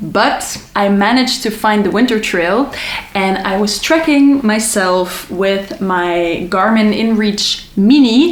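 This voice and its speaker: A woman's fairly high voice, with ordinary pitch variation, comes through noticeable background noise and audible room echo. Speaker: travel vlogger. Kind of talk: casual tutorial.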